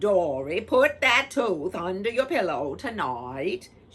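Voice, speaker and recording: In a put-on character voice at middle pitch, the speaker goes at a fairly slow pace with very wide pitch swings. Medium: read story. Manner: brisk, impatient.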